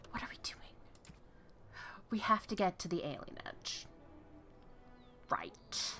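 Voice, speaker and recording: A woman whispering in an American accent at a fairly slow pace, with long, frequent pauses, big swings in loudness, and music in the background. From New York. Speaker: gaming video creator. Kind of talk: let's play commentary. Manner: animated, rambling repetition.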